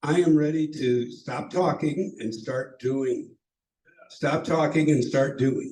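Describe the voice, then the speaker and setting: Somewhat breathy and dark, mellow in tone, a man talks fairly slowly with fairly even intonation. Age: 70s. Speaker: city council candidate, veteran. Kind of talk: campaign speech. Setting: meeting hall with audience, also on Zoom. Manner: halting, many fillers and repeats.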